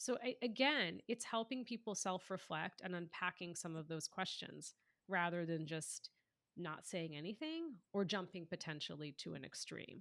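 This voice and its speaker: A woman with an American accent has an unremarkable speaking voice, fairly low and with lively intonation, at a moderate pace in a dry, close sound with no echo. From United States. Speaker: author and inclusion leader. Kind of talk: podcast interview.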